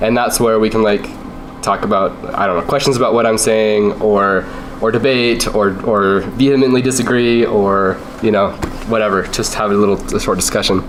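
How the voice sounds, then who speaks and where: Against noticeable background noise, a man speaks at a moderate pace with very even loudness. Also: fairly even intonation. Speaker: UX designer. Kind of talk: class lecture presentation. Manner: casual, hesitant.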